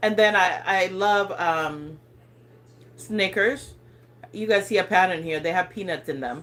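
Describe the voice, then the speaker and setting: At a moderate pace, a woman with an African accent speaks with ordinary pitch variation. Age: 40s. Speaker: lifestyle vlogger. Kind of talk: casual livestream chat. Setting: livestream. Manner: casual, hesitant with fillers.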